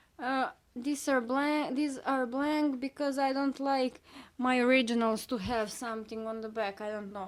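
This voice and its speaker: With a Serbian accent, a woman speaks with ordinary pitch variation on a very clean recording with a silent background. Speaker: artist. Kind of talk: casual video talk, sketchbook show-and-tell. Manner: halting, many fillers.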